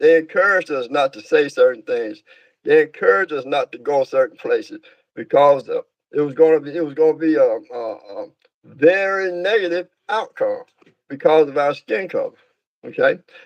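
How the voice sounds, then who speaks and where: At a moderate pace, a man speaks with a Georgia accent. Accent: Southern US, Georgia. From US South, Georgia (south of Atlanta). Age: 70s. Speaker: minister. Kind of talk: interview, life story. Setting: livestream. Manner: halting, many fillers.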